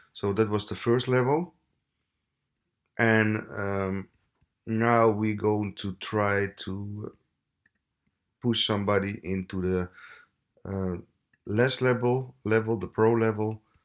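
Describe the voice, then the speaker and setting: A man's fairly low voice at a very slow pace, with fairly even intonation, long and frequent pauses, and a very clean recording over a silent background. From Italy. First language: Italian. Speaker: web tutorial creator. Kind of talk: tutorial. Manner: halting, many fillers.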